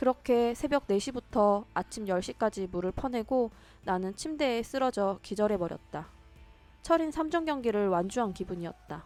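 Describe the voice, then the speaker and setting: A woman's fairly high voice with lively intonation at a moderate pace, music in the background. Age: 30s. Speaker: vlogger. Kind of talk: vlog voice-over narration.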